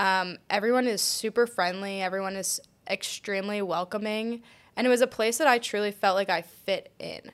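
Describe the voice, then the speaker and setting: A woman's unremarkable speaking voice with an American accent, medium pitch, fairly even intonation and a moderate pace, on a very clean recording with a silent background. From Pennsylvania, near Philadelphia. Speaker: graduate student. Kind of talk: casual interview.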